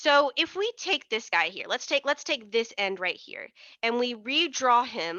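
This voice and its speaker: A woman talks at a very slow pace with lively intonation. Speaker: chemistry tutor. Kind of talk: exam review tutorial. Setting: livestream with chat. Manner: casual, many fillers and repeats.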